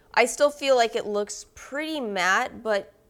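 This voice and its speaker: A woman is heard over noticeable background noise. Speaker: beauty youtuber. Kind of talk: casual talk to camera.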